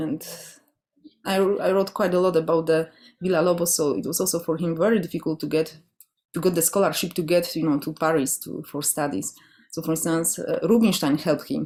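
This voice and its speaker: A woman with a Polish accent and fairly low pitch, fairly quick pace with long, frequent pauses, ordinary pitch variation, and a very clean recording with a silent background. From Poland. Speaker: classical guitarist and guitar orchestra director. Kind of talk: interview.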